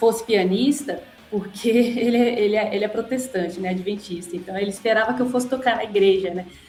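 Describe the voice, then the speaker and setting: Speaking at a fairly quick pace and a fairly high pitch, a woman is heard with audible room echo and noticeable background noise. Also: ordinary pitch variation. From Brazil, Brasília (Guará). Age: 50s. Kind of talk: podcast interview. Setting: podcast.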